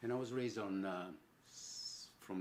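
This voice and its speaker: A man speaks in an Italian accent. His pitch varies in an ordinary way. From Italy, Rome. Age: 70s. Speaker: sculptor. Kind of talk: personal reflection. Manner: halting.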